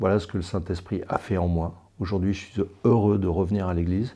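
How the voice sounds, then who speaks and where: Very deep and low in pitch, a man speaks with a dark, mellow tone and fairly even intonation. The background is quiet. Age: 60s. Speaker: church member giving testimony. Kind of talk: testimony. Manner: halting, with frequent hesitations.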